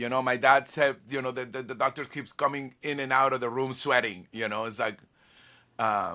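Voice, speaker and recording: In a very clean recording with a silent background, a man with a Spanish accent speaks at a moderate pace in a bright, sharp tone. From Venezuela. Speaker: violinist and music producer. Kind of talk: interview. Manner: halting, many repeated words.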